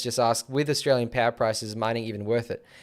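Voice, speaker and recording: A man talks at a very fast pace. His pitch sits in the middle range, with ordinary variation. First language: not English. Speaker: tech streamer. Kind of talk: casual chat. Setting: live stream.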